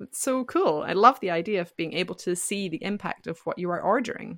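In a Scottish accent, a woman talks at a moderate pace with lively intonation, recorded with a dry, close sound with no echo, very clean with a silent background. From Scotland. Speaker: podcast host, founder of an English-learning podcast. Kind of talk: scripted educational podcast chat.

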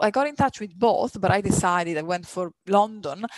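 Someone with an Italian accent speaks at a moderate pace. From Italy, near Milan. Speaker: radiologist. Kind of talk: casual interview.

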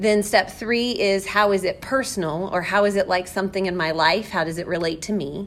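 With a plain, everyday voice, this woman keeps to a medium pitch that varies in the usual way. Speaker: school librarian or teacher hosting a book podcast. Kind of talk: casual educational chat about a book.

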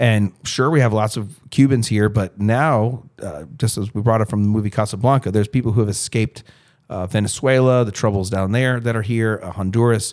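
An ordinary speaking voice belongs to a man with a fairly low pitch and ordinary pitch variation. He talks at a fairly quick pace on a very clean recording with a silent background. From South Florida. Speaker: school administrator and podcast host. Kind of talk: casual discussion.

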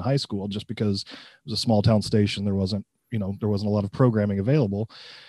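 In a Midwestern American accent, a man with a dark, mellow tone speaks at a very fast pace. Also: dry, close sound with no echo, very clean recording, silent background. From US Midwest, central Illinois. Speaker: college professor. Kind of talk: interview.

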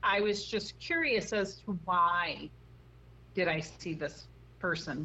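A woman with an American accent speaks with vocal fry. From US Midwest, Chicago. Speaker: paranormal investigator. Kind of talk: interview. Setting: phone call.

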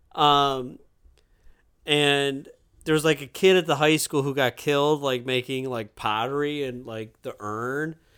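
A plain, everyday voice from a man, fairly high-pitched, at a moderate pace, on a very clean recording with a silent background. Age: 30s. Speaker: teacher and writer. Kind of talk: casual chat.

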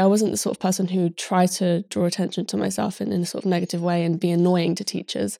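In a British accent, a woman talks at a very fast pace with a dark, mellow tone and fairly even intonation. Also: very clean recording, silent background.

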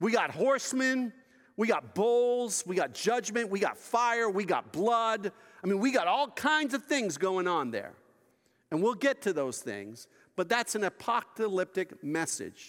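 A man with an American accent talks at a fairly slow pace in a high pitch, his intonation lively. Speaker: pastor. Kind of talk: sermon. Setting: church. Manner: hesitant with many filler words.

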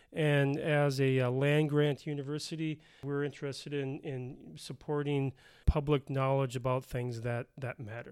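This is a plain, everyday voice from a man with an American accent. His pitch is fairly high, his intonation fairly even, and his pace moderate. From Minnesota, Bloomington. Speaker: philosophy professor, podcast co-host. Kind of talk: casual academic discussion.

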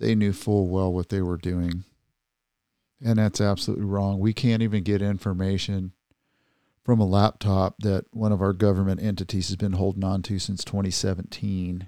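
A man talks at a moderate pace in a dark, mellow tone. His intonation stays monotone and flat. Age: 60s. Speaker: podcast co-host, Navy veteran. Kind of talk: casual chat.

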